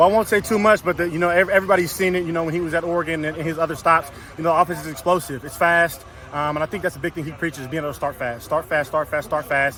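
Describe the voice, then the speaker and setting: A high-pitched man talks very fast with fairly even intonation over noticeable background noise. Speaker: college football offensive lineman. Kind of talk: press interview.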